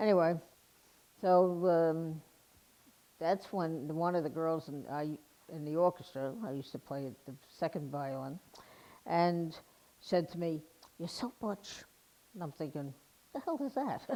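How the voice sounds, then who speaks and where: With an American accent, a woman speaks in a fairly low pitch and a dark, mellow tone, with ordinary pitch variation. Her loudness swings widely, and she leaves long, frequent pauses. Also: fairly slow pace. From New York. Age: 60s. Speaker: retired army veteran. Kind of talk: personal testimony. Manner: casual, conversational with fillers.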